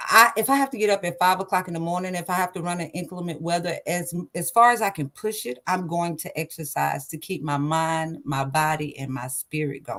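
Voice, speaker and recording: A woman with an East Texas accent talks at a fairly quick pace with hardly any pauses, her fairly low voice bright and sharp in tone, with ordinary pitch variation. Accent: Southern US (East Texas). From East Texas (Liberty, near Houston). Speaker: singer, military veteran. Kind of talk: interview.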